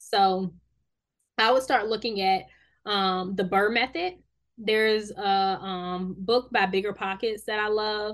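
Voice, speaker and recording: A woman with an unremarkable speaking voice, medium pitch, fairly even intonation and a fairly slow pace. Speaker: podcast host. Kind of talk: casual interview chat.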